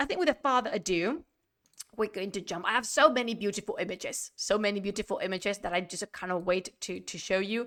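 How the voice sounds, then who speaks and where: A woman talks at a very fast pace in an animated tone. Her pitch is medium, with ordinary pitch variation. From Spain. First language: Spanish. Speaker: history streamer. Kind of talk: live-streamed lecture. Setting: live stream.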